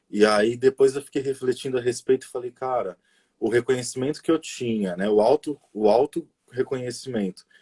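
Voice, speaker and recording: A man with a medium pitch and a dark, mellow tone speaks at a moderate pace. His intonation is fairly even, and the sound is dry and close with no echo. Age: 30s. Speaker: educator, pedagogue. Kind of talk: casual interview on a live stream. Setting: online live stream.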